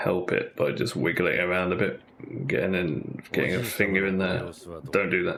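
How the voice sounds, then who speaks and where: A soft-spoken man talks in a very deep, low pitch. Noticeable background noise runs behind him. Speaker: gaming streamer. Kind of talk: casual chat. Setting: live stream. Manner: halting. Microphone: far from the mic.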